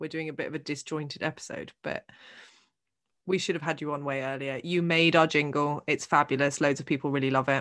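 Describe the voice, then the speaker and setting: A woman with a British accent at a fairly quick pace, against a quiet background. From England. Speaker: podcast host. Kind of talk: casual chat.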